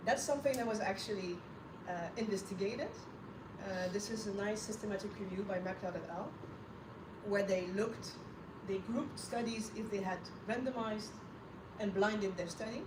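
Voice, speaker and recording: A woman at medium pitch, fairly quick in pace but with long, frequent pauses, over noticeable background noise and audible room echo. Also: fairly even intonation. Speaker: scientific lecturer. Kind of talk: lecture. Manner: loud.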